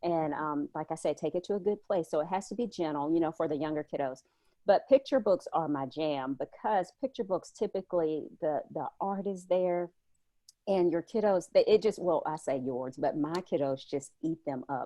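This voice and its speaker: A woman with a Southern US accent and a fairly low pitch. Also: lively intonation. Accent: Southern drawl. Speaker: homeschooling mom and blogger. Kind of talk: casual chat. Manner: animated.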